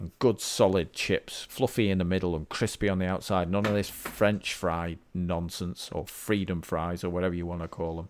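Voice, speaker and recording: A man with a British accent and a very deep, low pitch shows ordinary pitch variation in a very clean recording with a silent background. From Britain. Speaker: indie game developer. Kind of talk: live-streamed dev log. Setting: livestream. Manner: casual, thinking aloud with fillers.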